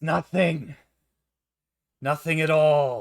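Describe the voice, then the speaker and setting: A put-on character voice growls along with ordinary pitch variation. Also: man. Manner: growling, menacing.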